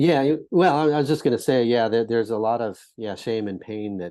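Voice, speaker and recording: A man with an American accent speaks in a dark, mellow tone with ordinary pitch variation. The background is quiet. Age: 60s. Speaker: social entrepreneur and mentor. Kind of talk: podcast interview.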